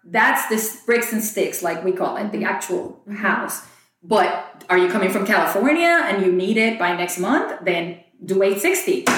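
Her pace is fairly slow. The woman's intonation moves in a lively way. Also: medium pitch for a woman. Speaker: real estate agent and podcast co-host. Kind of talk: podcast discussion, casual conversation. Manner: loud talker.

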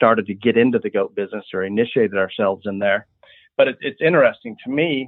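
Talking at a very fast pace, a man speaks with an American accent. His pitch is medium, with ordinary variation. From US Midwest, rural Illinois. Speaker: livestock breeder. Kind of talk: interview.

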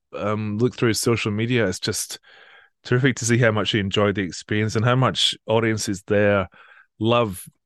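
Speaking at a fairly quick pace over a quiet background, a man with a Scottish accent keeps a fairly even intonation. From Scotland, Edinburgh area. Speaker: classical radio presenter. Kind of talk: interview.

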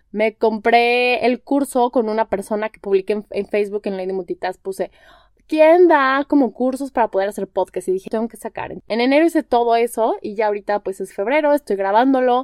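A woman's fairly high voice with ordinary pitch variation and big swings in loudness, fairly quick in pace, in a dry, close sound with no echo. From Mexico, Guadalajara. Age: 30s. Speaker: podcast host, wellness coach in training. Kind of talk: casual solo monologue. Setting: home bedroom. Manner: animated.

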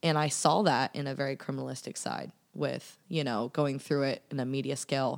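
A woman with an American accent speaks at a fairly quick pace in a very deep, low voice with vocal fry. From US Southwest and California/Texas. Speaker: podcast guest. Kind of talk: casual chat.

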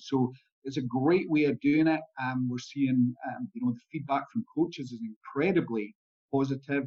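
With a Scottish accent, a man speaks at a moderate pace. His fairly high voice shows ordinary pitch variation. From Scotland. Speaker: performance analyst. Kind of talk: interview.

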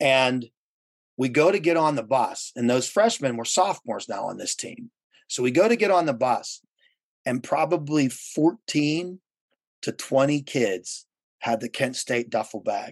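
A man speaks at a fairly slow pace in a fairly high pitch, with an unremarkable speaking voice. The sound is dry and close with no echo, and the background is quiet. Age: 50s. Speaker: tourism industry professional and event chair. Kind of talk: casual interview chat.

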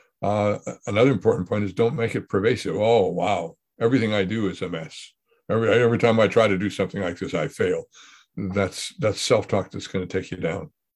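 Over a quiet background, a man speaks in a normal speaking voice with fairly low pitch, ordinary pitch variation and a fairly quick pace. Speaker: podcast host. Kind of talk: casual conversation.

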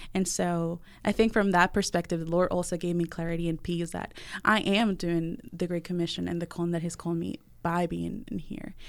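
Over a very clean, silent background, a woman speaks at a fairly quick pace in a Spanish accent. Her fairly low voice keeps a fairly even intonation. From Venezuela (Valencia). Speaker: college student life director. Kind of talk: interview conversation.

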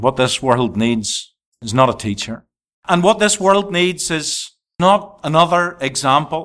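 With a Northern Irish accent, a man at medium pitch makes very wide pitch swings. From Northern Ireland. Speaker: evangelist. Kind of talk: sermon. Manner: repetitive, emphatic preaching.

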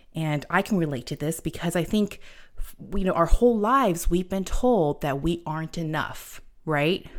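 A woman's fairly low voice at a moderate pace, with ordinary pitch variation and an ordinary speaking voice. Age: 40s. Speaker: life coach and podcast host. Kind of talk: solo podcast talk. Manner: casual, many fillers.

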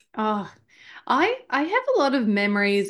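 Against a quiet background, a woman with an Australian accent talks at a fairly high pitch. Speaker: marketer and podcaster. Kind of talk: casual chat. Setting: remote call.

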